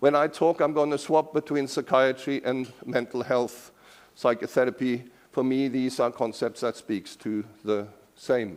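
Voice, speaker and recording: Here a man speaks with a Norwegian accent at a medium pitch. His intonation is fairly even and his pace fairly slow. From Norway. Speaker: professor emeritus. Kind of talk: lecture.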